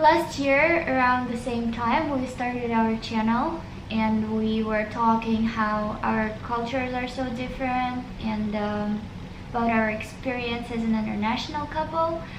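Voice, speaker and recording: Fairly high-pitched female speech, fairly slow and fairly even in intonation, with audible room echo and noticeable background noise. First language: Russian. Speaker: vlogger. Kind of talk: casual chat.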